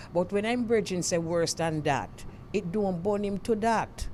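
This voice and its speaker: With a Jamaican accent, a woman talks at a moderate pace with lively intonation. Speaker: radio host. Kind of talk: radio talk show discussion.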